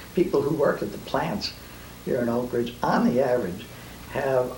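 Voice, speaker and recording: A man speaks at a moderate pace and medium pitch, with noticeable background noise and audible room echo. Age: 70s. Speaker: nuclear physicist. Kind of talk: interview. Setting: living room. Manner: hesitant, with fillers and repetitions.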